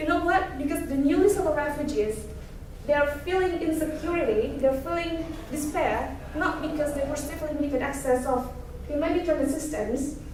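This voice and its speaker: A woman's high-pitched voice at a moderate pace, with ordinary pitch variation, audible room echo and noticeable background noise. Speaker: student speaker. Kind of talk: presentation talk. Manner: halting.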